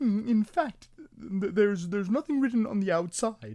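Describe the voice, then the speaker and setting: A put-on character voice with a fairly high pitch goes along at a moderate pace. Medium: read story. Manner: hesitant, stammering with "mm".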